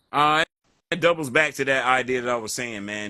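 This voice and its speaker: Speaking at a very fast pace, a man with a slight Southern US accent has a bright, sharp tone. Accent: slight Southern twang. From North Carolina. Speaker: hip hop artist. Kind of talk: interview. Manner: casual, relaxed.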